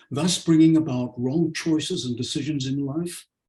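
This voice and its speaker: Dark, mellow tone from a man, somewhat breathy. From South Africa (born Leeds, England). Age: 80s+. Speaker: homeopathic doctor and lecturer. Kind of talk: webinar lecture. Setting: video call webinar.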